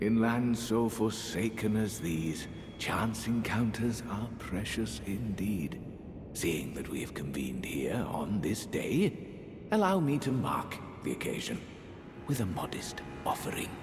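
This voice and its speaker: Loud background noise runs under the recording. A man with a medium pitch uses a put-on character voice. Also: fairly slow pace. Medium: video game. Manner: polite, measured, genteel.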